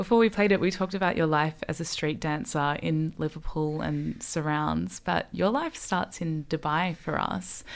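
With an Australian accent, a woman speaks at a moderate pace with hardly any pauses, her pitch very deep and low with ordinary variation. The recording is very clean with a silent background. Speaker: radio host. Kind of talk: interview. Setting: radio studio.

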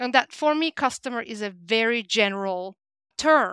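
In a Turkish accent, a woman speaks with a fairly high pitch and a bright, sharp tone on a very clean recording with a silent background and a dry, close sound with no echo. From Turkey. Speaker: talent development director. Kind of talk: interview.

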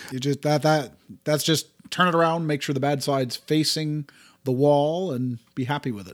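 A man's unremarkable speaking voice with a Canadian accent, fairly high in pitch, at a moderate pace with fairly even intonation and big swings in loudness, in a dry, close sound with no echo. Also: very clean recording, silent background. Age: 60s. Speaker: podcast co-host. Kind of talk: casual chat. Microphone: new high-end microphone.

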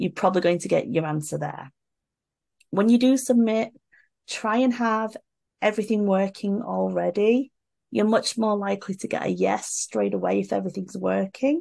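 Against a quiet background, a woman with a British accent speaks at a moderate pace. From UK. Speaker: social media entrepreneur and event organizer. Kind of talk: casual chat.

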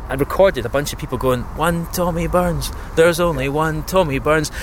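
Noticeable background noise fills the clip. Over it, a man speaks very fast. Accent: Scottish. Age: 30s. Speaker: radio imaging producer. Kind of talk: casual interview. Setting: outdoors.

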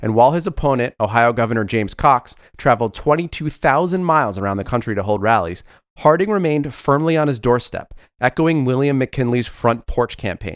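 A man with an American accent and a plain, everyday voice speaks at a fairly quick pace in a medium pitch with lively intonation, on a very clean recording with a silent background and a dry, close sound with no echo. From South Florida. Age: 30s. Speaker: podcast co-host. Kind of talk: casual political chat.

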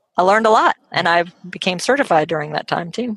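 A woman speaks with an American accent and vocal fry. The sound is dry and close, with no echo. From US South, Atlanta, Georgia. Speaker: speech-language pathologist. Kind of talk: casual chat. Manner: hesitant, many fillers.

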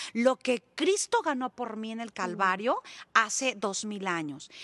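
A woman speaks slowly, fairly so, in a high, bright and sharp voice. Her intonation is lively, and the sound is dry and close with no echo. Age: 50s. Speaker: evangelist. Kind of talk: testimony and religious teaching.

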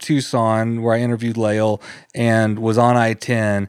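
On a very clean recording with a silent background, a man with an American accent speaks in an ordinary speaking voice at medium pitch and a fairly slow pace. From Texas, College Station. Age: 40s. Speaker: podcast host and interviewer. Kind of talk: casual interview chat.

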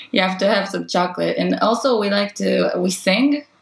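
A woman speaks at a medium pitch and a moderate pace. Noticeable background noise is present. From Israel. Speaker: spearfisher. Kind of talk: casual chat.

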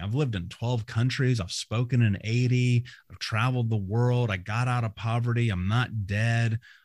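A man speaks at a moderate pace with a medium pitch and a somewhat breathy sound. The recording is very clean, with a silent background. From US Midwest, Indianapolis. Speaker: motivational speaker and trauma coach. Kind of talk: interview.

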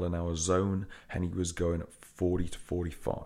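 A man talks at a fairly slow pace. His pitch is very deep and low. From England. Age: 40s. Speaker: gym owner. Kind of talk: interview storytelling. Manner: energetic.

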